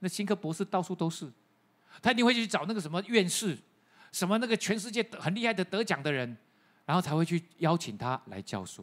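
A man talks fairly quickly in a high pitch. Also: lively intonation. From Taiwan. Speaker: pastor. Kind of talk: sermon. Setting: church. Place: church. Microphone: handheld.

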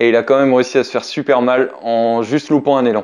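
In a quiet background, a man with a medium pitch speaks at a moderate pace with fairly even intonation. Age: 30s. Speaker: BMX rider and YouTuber; YouTuber. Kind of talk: casual talk to camera. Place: home room.

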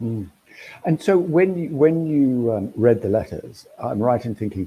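The man's voice sits at a medium pitch and sounds somewhat breathy. His intonation is lively. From Australia. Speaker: books editor and festival interviewer. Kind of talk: interview. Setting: video call. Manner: halting. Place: home room. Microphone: video call.

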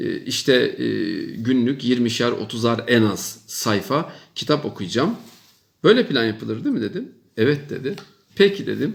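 Vocal fry runs through this man's medium-pitched voice. He speaks at a fairly slow pace with very wide pitch swings. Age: 50s. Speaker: professor. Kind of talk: monologue advice talk to young people. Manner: emphatic, repetitive.

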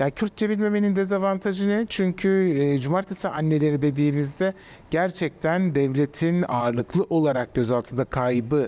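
A man speaks with a dark, mellow tone at a fairly high pitch. His intonation is lively while his loudness stays very even. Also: moderate pace. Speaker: journalist and author; journalist. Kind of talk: interview; interview answer. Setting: art exhibition venue. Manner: hesitant, many fillers. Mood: reflective, serious, somewhat sad. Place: hall. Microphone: lapel.

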